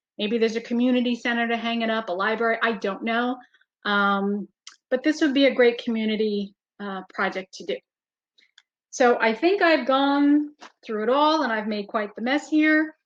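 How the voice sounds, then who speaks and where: A woman talks in an unremarkable speaking voice at a moderate pace, her pitch fairly high with ordinary pitch variation. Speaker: webinar presenter. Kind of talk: webinar demonstration.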